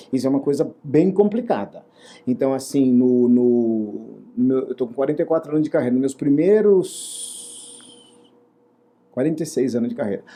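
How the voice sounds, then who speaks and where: Music plays in the background as a man with a fairly high pitch speaks at a moderate pace, with lively intonation and long, frequent pauses. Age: 60s. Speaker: actor and theater director. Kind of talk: interview. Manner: hesitant with repetitions.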